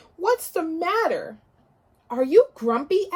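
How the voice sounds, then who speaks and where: A woman puts on a character voice with extremely high pitch and very wide pitch swings. She delivers it at a fairly slow pace. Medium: read story.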